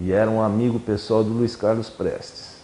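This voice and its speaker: A man's dark, mellow tone at a moderate pace. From Brazil, São Paulo (city from age 12). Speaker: former student activist. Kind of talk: oral history interview.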